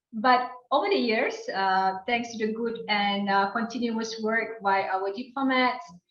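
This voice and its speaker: In a room with audible echo, a woman with a fairly high voice speaks at a fairly slow pace, with fairly even intonation and hardly any pauses. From Malaysia (Kuching, Sarawak, Borneo). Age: 40s. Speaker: diplomat. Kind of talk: interview. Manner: formal.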